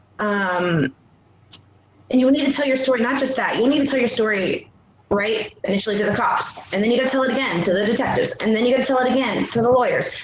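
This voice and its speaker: Against noticeable background noise, a woman talks at a very fast pace in a high pitch with ordinary pitch variation. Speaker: workshop presenter, abuse survivor. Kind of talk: online workshop presentation.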